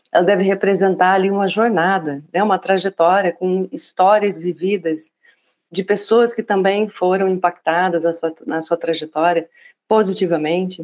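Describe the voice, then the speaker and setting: At a moderate pace, a woman with a medium pitch uses a plain, everyday voice and fairly even intonation. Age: 40s. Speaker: diversity and inclusion specialist. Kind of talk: casual conversation.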